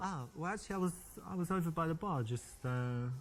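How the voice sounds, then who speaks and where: A somewhat breathy man at a very fast pace, with lively intonation. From England, South London. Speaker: dating coach in a video game. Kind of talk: coaching commentary to player; scripted in-game dialogue.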